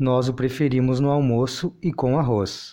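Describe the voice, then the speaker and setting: Very slowly, a man speaks at a medium pitch in a dark, mellow tone. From Rio Grande do Sul, southern Brazil. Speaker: guest contributor. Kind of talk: scripted language-lesson dialogue.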